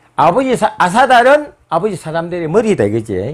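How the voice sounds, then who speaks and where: With a Gyeongsang accent, a man speaks at a moderate pace in a high pitch. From South Korea, Busan (Gyeongsang). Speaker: history lecturer. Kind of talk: lecture.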